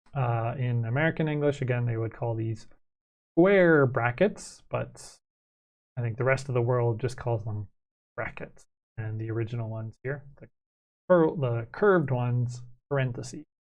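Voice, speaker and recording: A man speaks with a Canadian accent, somewhat breathy, with ordinary pitch variation. His pauses are long and frequent. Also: medium pitch for a man, moderate pace. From Canada. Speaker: math teacher. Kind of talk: lecture. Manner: hesitant, many fillers.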